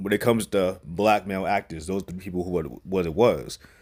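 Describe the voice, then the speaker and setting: Through a very clean recording with a silent background, a man with a fairly low voice speaks in an animated tone at a fairly quick pace, with ordinary pitch variation. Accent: New York. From New York. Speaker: movie reviewer. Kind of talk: casual movie review. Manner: casual, animated.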